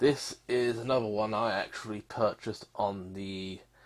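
Here a man talks with a British accent at a fairly slow pace. His pitch is fairly low, with ordinary variation. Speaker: YouTuber reviewing game purchases. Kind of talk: casual screen-recorded commentary. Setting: home room recording. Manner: rambling, hesitant with fillers.

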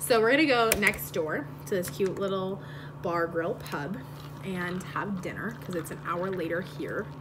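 Against noticeable background noise, a woman speaks at a moderate pace and a fairly low pitch. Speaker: vlogger. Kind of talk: casual vlog chat. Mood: playful, joking. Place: home room. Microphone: phone near.

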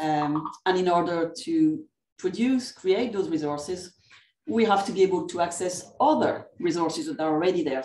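With a French accent, a woman speaks at a moderate pace in a dark, mellow tone, her pitch swinging very widely amid audible room echo. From France. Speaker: academic librarian. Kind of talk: conference presentation. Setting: video call. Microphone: video call.

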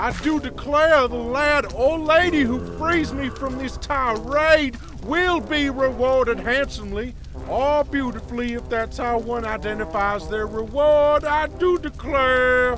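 Clear music plays behind a man doing a put-on character voice at an extremely high pitch. He drawls at a fairly slow pace. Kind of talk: comic overacting. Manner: genteel, boastful, drawling.

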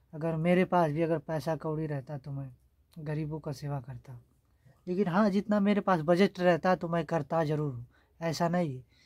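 A man speaks at a fairly slow pace and a fairly high pitch. His pitch varies in an ordinary way, and the background is quiet. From rural north India. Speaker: vlogger. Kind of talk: casual vlog. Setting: at home. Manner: halting. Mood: earnest, slightly pleading. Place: home room. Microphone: phone near.

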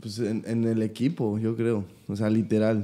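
This man has a dark, mellow tone. His pitch sits fairly low. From Mexico City. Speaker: podcast host, professional footballer; podcast host. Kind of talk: casual chat. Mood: relaxed, friendly. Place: studio. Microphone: studio mic.

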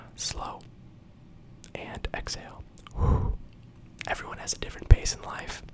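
Whispering in a soothing tone, a man leaves long, frequent pauses while his loudness swings widely. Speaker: ASMR creator. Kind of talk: ASMR positive affirmations. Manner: whispered, slow, soothing. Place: home room. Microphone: studio mic.

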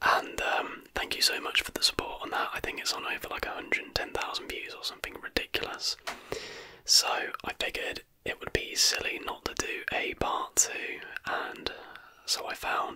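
The speaker whispers at a moderate pace, with long, frequent pauses. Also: man. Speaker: ASMR creator. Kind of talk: casual vlog chat. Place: home room. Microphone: studio mic.

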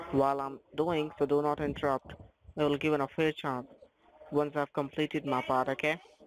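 In a dry, close sound with no echo, a man with an Indian accent speaks at a moderate pace in a fairly high pitch with monotone, flat intonation. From Northeast India. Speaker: phone scammer. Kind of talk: scam phone call.

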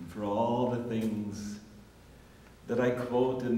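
Over light background noise and audible room echo, a man speaks very slowly in a monotone with flat intonation. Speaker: spiritual teacher. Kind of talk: lecture. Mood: warm, contemplative. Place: empty room. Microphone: old recording.

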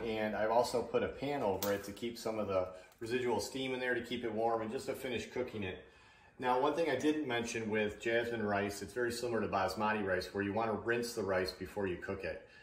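Room echo is audible as a man delivers his words at a fairly quick clip. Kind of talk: tutorial. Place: kitchen.

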